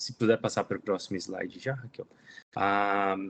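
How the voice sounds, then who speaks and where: A man with a Brazilian accent. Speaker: climate program lead. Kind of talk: presentation.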